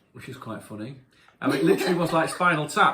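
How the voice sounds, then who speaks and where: This man speaks at a high pitch. Noticeable background noise runs under his voice. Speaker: rock singer. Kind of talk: casual chat. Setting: home. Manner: halting.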